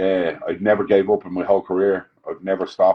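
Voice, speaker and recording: With an Irish accent, a man talks at a fairly quick pace in a fairly low pitch. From Ireland. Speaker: chef. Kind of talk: interview. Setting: video call.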